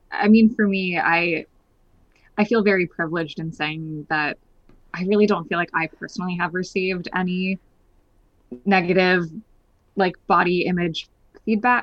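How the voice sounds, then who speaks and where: Long, frequent pauses break up a woman's speech at a moderate pace. Her pitch is medium, with ordinary pitch variation. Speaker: theater podcast host. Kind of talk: casual chat.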